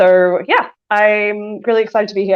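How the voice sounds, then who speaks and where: A woman with an Australian accent. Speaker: engineering director. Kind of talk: casual chat. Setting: online audio room.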